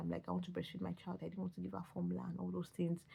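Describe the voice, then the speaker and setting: A quiet, somewhat breathy woman with a Nigerian accent and a dark, mellow tone, at a very fast pace. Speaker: vlogger. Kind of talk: personal vlog. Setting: at home. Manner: halting.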